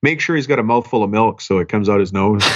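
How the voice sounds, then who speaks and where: The man speaks very fast. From Canada. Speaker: business coach. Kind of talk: podcast interview.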